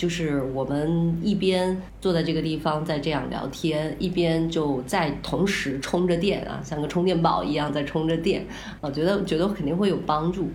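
A woman at a moderate pace, fairly even intonation, noticeable background noise throughout. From northern China. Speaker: podcast co-host and counselor. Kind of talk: casual chat.

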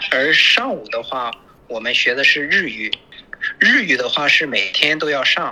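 With a slight Shandong accent, a man talks at a fairly slow pace against noticeable background noise. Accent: slight Shandong Mandarin. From Shandong, Yantai. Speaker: trade worker living in Japan. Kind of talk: casual chat.

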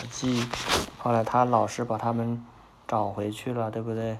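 Through noticeable background noise, a man speaks at a moderate pace with monotone, flat intonation. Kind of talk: children's picture-book reading aloud with interactive questions to a child. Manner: warm, gentle, coaxing, with soothing bedtime tone.

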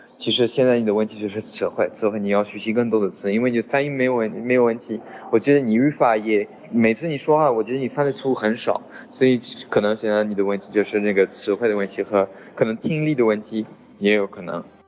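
A speaker with a French accent talks at a very fast pace, with fairly even intonation. Noticeable background noise runs under the voice. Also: man, medium pitch for a man. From France. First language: French (speaking Chinese). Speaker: French teacher. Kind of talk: lecture. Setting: group chat voice message. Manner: halting.

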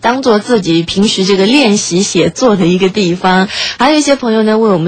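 The speech comes at a fairly quick pace with ordinary pitch variation. Noticeable background noise is present. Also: woman. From Shanghai, China. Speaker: late-night radio host. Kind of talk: reading aloud a listener's story; radio presenting, addressing listeners.

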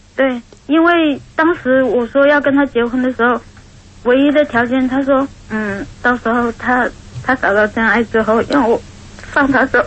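A woman speaks at a moderate pace in a high voice with ordinary pitch variation, over noticeable background noise. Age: 30s. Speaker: caller. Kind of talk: testimony. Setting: phone call. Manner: halting.

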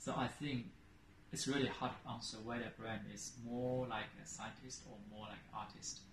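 With a Chinese accent, a man speaks in a somewhat breathy, monotone, flat way, his loudness swinging widely against audible room echo. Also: medium pitch for a man, moderate pace. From China (Shanghai). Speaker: marketing executive. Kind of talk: interview conversation.

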